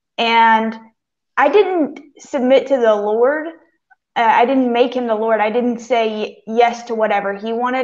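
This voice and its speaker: At a moderate pace, a woman with a fairly high pitch speaks against a quiet background. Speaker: campus ministry intern; panelist. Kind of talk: casual chat. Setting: video call. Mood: warm, reflective, light humor. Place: home room.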